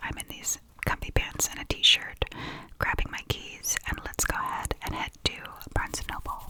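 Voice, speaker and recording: A woman whispers at a fairly quick pace. Noticeable background noise can be heard. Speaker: ASMR vlogger. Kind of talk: casual talk to camera, vlog voiceover. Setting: recorded on location and in a home studio, airplane noise in background. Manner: whispered, soft-spoken.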